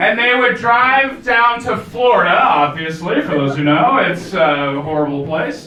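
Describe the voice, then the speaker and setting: Over noticeable background noise, a man with an American accent speaks at a moderate pace in a raised, projected voice. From United States. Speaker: comedian. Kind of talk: stand-up. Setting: stage with audience. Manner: animated.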